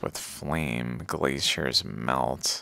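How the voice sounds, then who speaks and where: A bright, sharp tone with some vocal fry. The pitch varies in an ordinary way, and the sound is dry with no echo. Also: man. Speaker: video host. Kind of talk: casual commentary, reading aloud. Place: home room.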